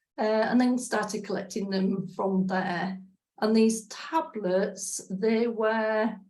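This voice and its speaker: A woman with an English accent talks at a very slow pace. Her pitch is fairly high, and the room echo is audible. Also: fairly even intonation. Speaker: spiritual practitioner. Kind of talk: personal testimony. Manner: hesitant, many fillers.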